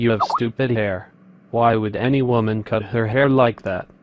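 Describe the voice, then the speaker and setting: Using a put-on character voice, a man speaks at a moderate pace and a medium pitch. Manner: monotone, mechanical.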